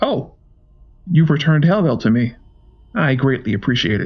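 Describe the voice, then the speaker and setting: This man speaks in a put-on character voice. It sits fairly high and moves at a moderate pace. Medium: read story. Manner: polite, soft-spoken, menacing.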